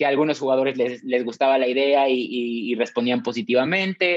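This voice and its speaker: A man's fairly high voice with lively intonation, a fairly quick pace and a Mexican accent. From Mexico. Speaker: TV network executive. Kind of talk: interview testimony. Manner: halting, repeats words.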